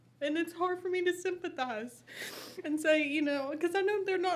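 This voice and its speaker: Her pitch is extremely high with ordinary variation. She is a woman speaking in an American accent. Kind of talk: legislative hearing testimony.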